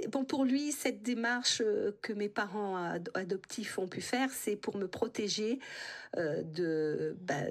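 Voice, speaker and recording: A woman speaks at a medium pitch with lively intonation. Her pace is very slow. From France, Creuse. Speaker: interviewee, adoptee rights activist. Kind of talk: radio interview. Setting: radio studio. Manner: hesitant, many fillers.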